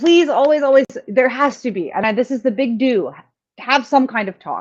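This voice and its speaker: Her intonation is lively. The woman has an unremarkable speaking voice. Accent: Canadian. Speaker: sex and relationships radio host. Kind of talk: casual chat.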